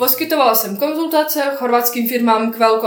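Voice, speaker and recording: Against noticeable background noise, a woman in a Bosnian accent speaks at a fairly high pitch with ordinary pitch variation. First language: Bosnian (speaking Czech). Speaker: software developer. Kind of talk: interview.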